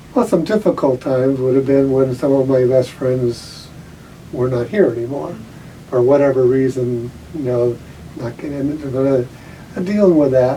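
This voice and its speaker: Male speech at a moderate pace and medium pitch with ordinary pitch variation, long, frequent pauses and noticeable background noise. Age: 80s+. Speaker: retired school guidance counselor. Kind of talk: interview. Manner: halting.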